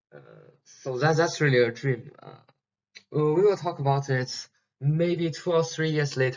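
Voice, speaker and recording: A man with a non-native accent, fairly high pitch, ordinary pitch variation and a fairly slow pace. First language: Chinese. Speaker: PhD student teaching an online course. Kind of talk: lecture. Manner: halting, many fillers and repetitions.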